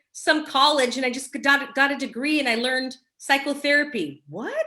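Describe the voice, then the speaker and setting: Bright and sharp, a woman's high voice is raised and projected, with an American accent. She speaks at a moderate pace. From Los Angeles, California. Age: 40s. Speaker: mindset coach and speaker. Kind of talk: casual interview chat. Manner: animated.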